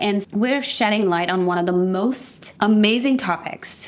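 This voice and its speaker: A woman's voice over noticeable background noise. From Afghanistan. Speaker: fitness coach, podcast co-host. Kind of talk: casual chat. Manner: animated.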